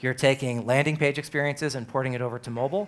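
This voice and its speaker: With an American accent, a man talks very fast at a medium pitch and with ordinary pitch variation. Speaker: business executive giving a conference talk. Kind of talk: conference keynote. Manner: hesitant with many fillers.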